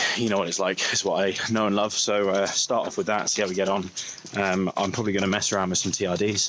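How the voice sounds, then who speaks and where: A man with a British accent talks very fast in a fairly low, flat monotone, his loudness very even, over noticeable background noise. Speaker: angler vlogger. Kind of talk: casual vlog talk to camera. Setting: outdoors by a canal at first light. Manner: soft-spoken, quiet; hesitant with many ums.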